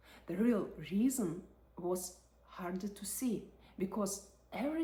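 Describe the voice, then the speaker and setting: A woman speaks at a fairly slow pace in a medium pitch, her tone dark and mellow and somewhat breathy. Her intonation is lively. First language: not English. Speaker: psychology and personal growth creator. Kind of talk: reflective video essay.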